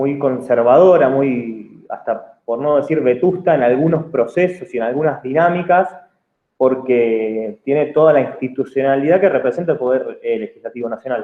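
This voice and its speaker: A man with a fairly high pitch speaks at a moderate pace, his pitch variation ordinary. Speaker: public official. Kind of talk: lecture. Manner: halting, many fillers and repeats.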